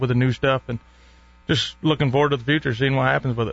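A man talks at a very fast pace with medium pitch. His intonation is monotone and flat. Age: 20s. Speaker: turkey call maker. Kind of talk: casual chat. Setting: studio.

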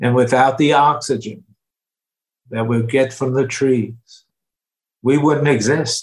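In a New York accent, a man speaks at a very slow pace with fairly even intonation. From New York (Brooklyn). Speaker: near-death experiencer and author. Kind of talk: interview.

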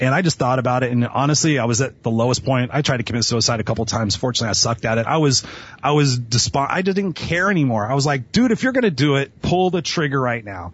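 Very fast and energetic, this somewhat breathy speaker uses lively intonation with an American accent and hardly any pauses. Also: man, medium pitch for a man. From Los Angeles (Inglewood). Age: 40s. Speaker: motivational speaker and coach. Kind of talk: interview.

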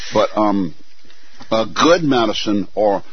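Over noticeable background noise, a man with a fairly low voice speaks with lively intonation. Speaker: physician and radio co-host. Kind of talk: talk radio interview.

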